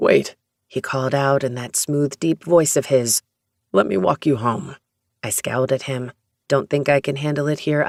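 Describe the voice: Someone reads aloud plainly, keeping the intonation fairly even, with a quiet background behind.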